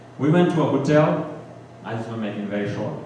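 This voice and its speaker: Amid noticeable background noise and audible room echo, a man of medium pitch talks at a fairly quick pace with ordinary pitch variation. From Bhutanese refugee, grew up in camps in Nepal. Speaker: community leader and guest speaker. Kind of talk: church adult-education talk. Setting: church hall with audience. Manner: halting, with fillers.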